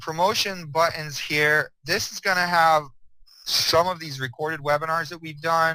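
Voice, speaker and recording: A man's voice with a bright, sharp tone. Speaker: program owner presenting a business opportunity. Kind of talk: webinar product presentation. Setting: online webinar. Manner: fast; casual, hesitant with fillers.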